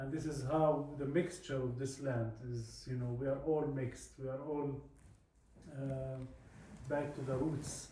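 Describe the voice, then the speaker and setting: Amid noticeable background noise and audible room echo, a man with an Arabic accent speaks at a fairly slow pace in a fairly high pitch with monotone, flat intonation. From Palestine. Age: 40s. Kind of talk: talk to a visiting group. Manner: halting with many fillers.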